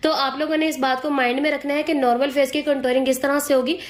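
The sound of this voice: At a fast pace, a woman speaks in a high pitch with little pitch movement.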